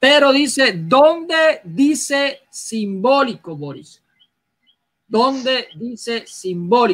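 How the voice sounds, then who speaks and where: This man talks very slowly in a Puerto Rican accent. His pitch is extremely high, and his intonation is lively. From Puerto Rico. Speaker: debate moderator. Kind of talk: moderating a debate.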